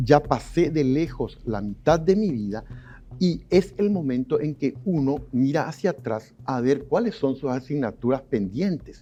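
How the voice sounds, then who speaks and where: Fairly high for a man, this voice has a dark, mellow tone and lively intonation at a fairly slow pace. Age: 60s. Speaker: sociologist and journalist. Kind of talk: TV interview.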